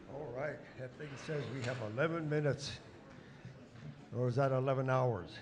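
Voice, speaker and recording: A man at medium pitch and moderate pace, with fairly even intonation, long, frequent pauses and audible room echo. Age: 80s+. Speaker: dance group leader. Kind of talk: stage announcement.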